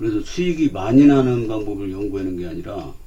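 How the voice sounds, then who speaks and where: The intonation is lively and the pace is moderate. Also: man. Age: 60s. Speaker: stock market commentator. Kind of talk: casual investing talk. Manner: hesitant, many fillers.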